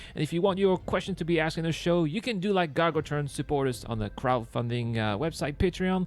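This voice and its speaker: Very fast and full of lively intonation, a man speaks at a fairly high pitch. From Brittany, France. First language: French. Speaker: gaming YouTuber. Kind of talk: gameplay commentary and channel outro. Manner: casual, hesitant with fillers.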